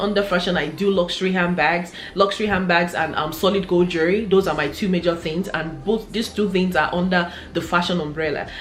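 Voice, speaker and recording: Speaking at a fairly quick pace with a Nigerian accent, a woman keeps a medium pitch and ordinary pitch variation amid audible room echo and noticeable background noise. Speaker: fashion and lifestyle YouTuber. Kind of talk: casual vlog monologue.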